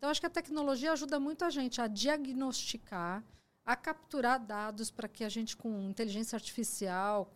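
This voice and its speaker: A woman's fairly high voice at a moderate pace with ordinary pitch variation, on a very clean recording with a silent background. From Brazil, Mogi das Cruzes (São Paulo state). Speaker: technology executive. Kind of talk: casual chat.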